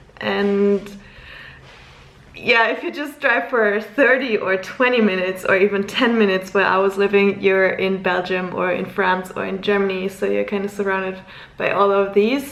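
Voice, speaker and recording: Noticeable background noise runs under speech delivered at a moderate pace with fairly even intonation. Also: woman, medium pitch for a woman. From Luxembourg. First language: German. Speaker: vlogger. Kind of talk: casual vlog talk to camera.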